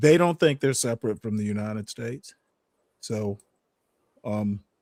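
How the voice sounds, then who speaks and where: A man with an unremarkable speaking voice, moderate pace, ordinary pitch variation and a dry, close sound with no echo. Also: medium pitch for a man. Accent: American. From US South, Savannah, Georgia. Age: 60s. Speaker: panelist. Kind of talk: heated debate.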